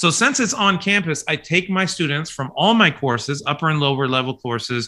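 A man's fairly high, bright, sharp voice in a Midwestern American accent, at a moderate pace with ordinary pitch variation, in a very clean recording with a silent background. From Kansas, US. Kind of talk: interview conversation.

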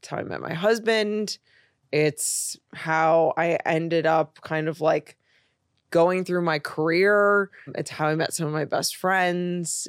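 Speech comes at a very slow pace in an American accent with fairly even intonation. The recording is very clean with a silent background, and the sound is dry and close with no echo. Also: woman, fairly low pitch for a woman. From US Midwest, Chicago. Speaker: content creator, former fashion designer. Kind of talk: casual interview chat.

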